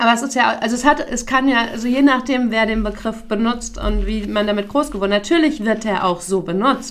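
Ordinary pitch variation at a fairly quick pace, with noticeable background noise. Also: woman, fairly high pitch for a woman. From Hesse, Taunus area. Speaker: podcast co-host. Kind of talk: casual chat.

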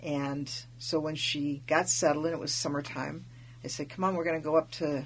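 On a very clean recording with a silent background, a woman with a very deep, low pitch and vocal fry speaks at a moderate pace with ordinary pitch variation. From Alaska, Tlingit family from Wrangell. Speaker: interviewer. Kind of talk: casual interview. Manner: halting, many fillers.

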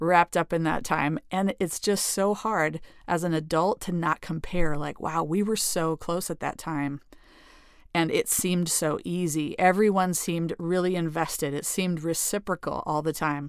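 This woman has a plain, everyday voice with fairly low pitch. Her intonation is fairly even and her pace moderate. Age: 40s. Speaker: podcast host. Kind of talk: solo podcast monologue.

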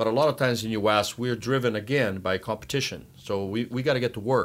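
A man speaks with a Brazilian accent at a medium pitch. His pace is fairly quick, with ordinary pitch variation. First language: Portuguese. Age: 60s. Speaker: water polo coach. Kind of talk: casual interview.

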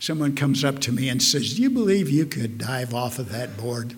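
In an American accent, a man with a fairly high pitch speaks amid audible room echo. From US Midwest, Omaha, Nebraska. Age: old. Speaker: pastor. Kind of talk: sermon.

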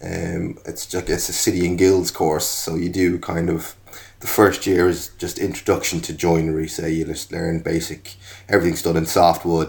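In an Irish accent, a man speaks with a very deep, low pitch. His intonation is flat and monotone. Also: moderate pace. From Ireland. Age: 40s. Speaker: furniture designer and maker. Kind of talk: casual interview chat.

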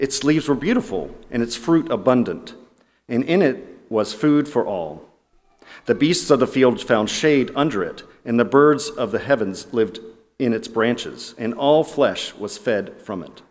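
A man talks at a fairly slow pace in a medium pitch, with lively intonation. He has a normal speaking voice. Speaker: scripture reader. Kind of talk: reading aloud. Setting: church.

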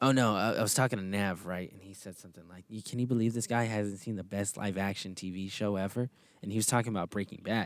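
Talking at a very fast pace with an American accent, this speaker keeps a fairly even intonation but shows big swings in loudness, all on a very clean recording with a silent background. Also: man, fairly low pitch for a man. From Texas. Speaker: podcast co-host, recent graduate. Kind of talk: casual chat.

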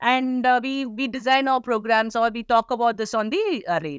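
A woman with a Tamil accent speaks in a high voice. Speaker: community radio station head. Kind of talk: interview. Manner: halting.

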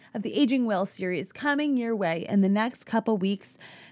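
On a very clean recording with a silent background, a woman with a fairly high pitch speaks in an animated tone with lively intonation. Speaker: podcast host. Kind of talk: casual solo monologue.

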